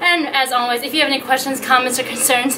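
Over light background noise, a woman talks at a very fast pace in a raised, projected voice with fairly even intonation. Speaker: fitness instructor. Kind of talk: workout instruction and outro. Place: garden.

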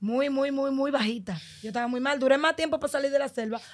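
Against a quiet background, a woman talks at a very fast pace in a high voice with ordinary pitch variation. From Dominican Republic, Los Mina (Santo Domingo Este); Dominican Republic. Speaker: migrant telling her journey; podcast guest. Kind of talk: testimony. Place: studio. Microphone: studio mic.

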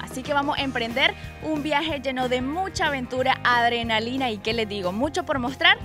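A woman speaks at a moderate pace over clear background music. The sound is dry, with no echo. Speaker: travel show host. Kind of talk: presenter piece to camera. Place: waterside. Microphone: handheld.

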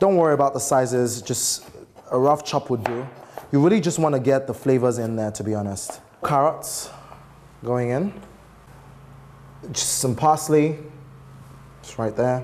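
A man at a moderate pace, with ordinary pitch variation, long and frequent pauses, and light background noise. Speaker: TV cooking show host. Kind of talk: tutorial. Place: kitchen. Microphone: lapel.

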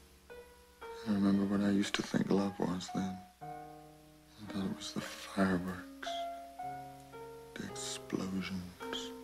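A man talking at a fairly slow pace with long, frequent pauses over clear music in the background. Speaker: actor. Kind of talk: film dialogue excerpt over piano music. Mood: calm, reflective, intimate. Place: home room.

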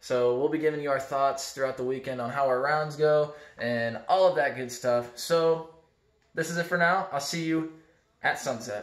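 At a moderate pace with ordinary pitch variation, a man speaks in a quiet background with audible room echo. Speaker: vlogger. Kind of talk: casual vlog chat. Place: home room. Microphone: phone near.

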